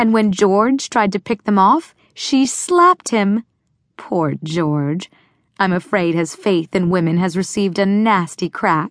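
Against a quiet background, the voice has an animated, playful tone and a fairly slow pace. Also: woman, medium pitch for a woman, ordinary pitch variation, very even loudness. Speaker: audiobook narrator. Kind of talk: dramatic audiobook narration, reading fiction aloud with character voices. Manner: animated, playful, shifting tone between characters.

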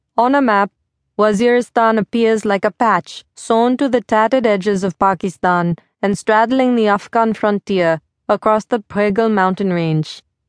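Against a quiet background, a woman with a fairly high pitch speaks in a dramatic tone at a moderate pace, with ordinary pitch variation, very even loudness and a dry, close sound with no echo. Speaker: audiobook narrator. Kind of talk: audiobook narration, dramatic memoir reading. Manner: measured, dramatic, storytelling pace.

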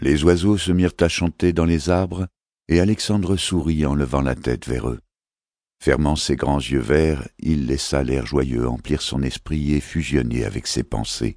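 A man speaks in a very deep, low pitch with ordinary pitch variation. His pace is fairly slow. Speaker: audiobook narrator. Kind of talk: dramatic audiobook narration of a fantasy novel. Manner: animated, shifting between hushed menace and a child's voice; measured, storytelling pace.

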